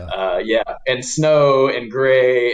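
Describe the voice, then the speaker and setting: With an American accent, this man talks while noticeable background noise runs behind him. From Oklahoma City, USA. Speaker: community economic development attorney. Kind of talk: podcast interview answer. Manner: casual, hesitant.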